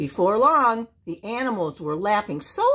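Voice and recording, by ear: The sound of reading aloud in a natural voice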